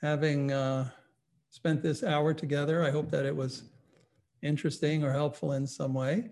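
Speaking at a fairly slow pace, a man has a fairly high pitch, a somewhat breathy quality, and a dark, mellow tone. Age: 60s. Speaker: psychologist and meditation teacher. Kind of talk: lecture. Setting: online webinar.

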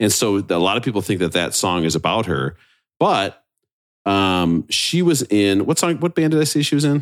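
A man with an American accent, fairly low in pitch yet swinging very widely, at a moderate pace and very even loudness. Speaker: podcast host. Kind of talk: casual chat. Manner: animated.

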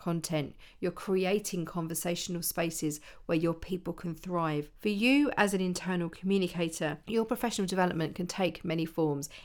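A woman with an unremarkable speaking voice talks at a moderate pace in a fairly low pitch. Her pitch varies in an ordinary way on a very clean recording with a silent background. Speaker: internal communication consultant and podcast host. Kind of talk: solo podcast monologue giving advice.

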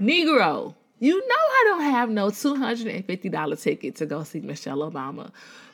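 Through noticeable background noise, a woman with a fairly high pitch sounds animated, her very wide pitch swings coming at a fairly quick pace. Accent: American. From Chicago. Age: 30s. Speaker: podcast host. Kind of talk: casual personal reflection.

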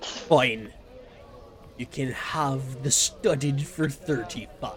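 Over clear background noise, a man uses a put-on character voice at a medium pitch and a very slow pace. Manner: gruff, bargaining.

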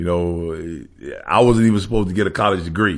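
With a Southern US accent, this speaker's pitch moves up and down in a typical way. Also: man. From US South, Savannah, Georgia. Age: 50s. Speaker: former pro football player. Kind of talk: casual interview.

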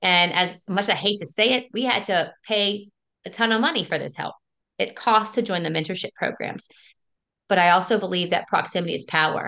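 A woman with an American accent, medium pitch and a bright, sharp tone, ordinary pitch variation, a fairly quick pace, and a quiet background. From South Louisiana. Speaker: school teacher and real estate investor. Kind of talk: interview. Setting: video call.

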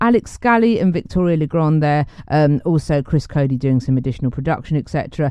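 In a British accent, a woman with a very deep, low pitch and a dark, mellow tone speaks at a moderate pace with lively intonation. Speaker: podcast host. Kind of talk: solo music show presenting. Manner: chatty, warm, casual.

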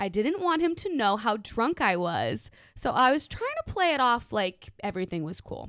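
With an American accent, a woman talks at a moderate pace with hardly any pauses. Her fairly high pitch swings very widely. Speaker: guest from another podcast. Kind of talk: casual drunk chat.

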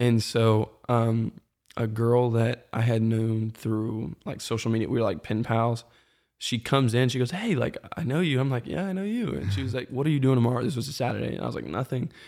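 A man with an American accent has an ordinary speaking voice at a medium pitch and fairly quick pace with ordinary pitch variation, in a very clean recording with a silent background. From US South, Metro Atlanta. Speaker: church creative and former college athlete. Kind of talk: casual chat.

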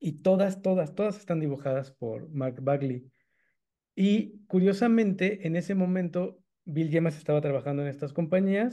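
In a Mexican accent, a man speaks with a dark, mellow tone at high pitch, showing ordinary pitch variation. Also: moderate pace. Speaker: comic book podcast co-host. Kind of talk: casual chat.

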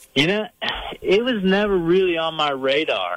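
A man with a Virginia accent talks with lively intonation. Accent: noticeable Virginia. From Northern Virginia, Fairfax County. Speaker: painter and bear hunter. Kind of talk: casual interview.

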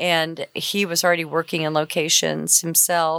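In a very clean recording with a silent background and a dry, close sound with no echo, a woman with a fairly low pitch and an American accent speaks at a fairly slow pace in a flat monotone. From Oklahoma. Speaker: location manager. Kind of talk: casual interview. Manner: talkative.

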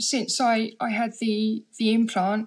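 A woman with a London accent speaks in a somewhat breathy voice. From London, England (Harlesden). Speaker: deaf writer and performer. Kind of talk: casual chat. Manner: halting, repeats words.

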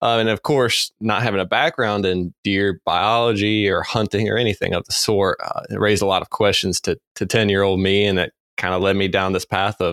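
In a plain, everyday voice with an American accent, a man speaks at a fairly quick pace and a fairly low pitch, the sound dry and close with no echo. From North Carolina. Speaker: deer biologist. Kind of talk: casual interview.

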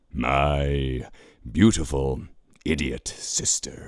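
In a put-on character voice, a man hisses and growls at a very deep, low pitch and a very slow pace. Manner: hissing, scornful.

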